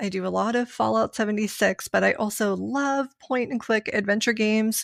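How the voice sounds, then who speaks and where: In a Pittsburgh accent, a woman with a fairly high pitch talks at a moderate pace and fairly even intonation with hardly any pauses, the sound dry and close with no echo and the recording very clean over a silent background. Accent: some Pittsburghese. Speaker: voice actor and streamer. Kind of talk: casual interview chat.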